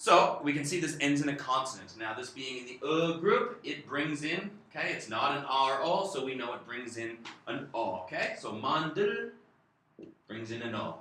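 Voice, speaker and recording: Lively, up-and-down intonation at a moderate pace, with audible room echo and noticeable background noise. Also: man, fairly high pitch for a man. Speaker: Korean language teacher. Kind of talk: tutorial.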